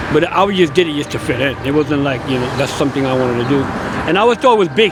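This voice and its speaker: Speech in an American accent, with noticeable background noise. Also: man. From US, New York (the Bronx). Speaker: former prisoner in recovery. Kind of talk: testimony.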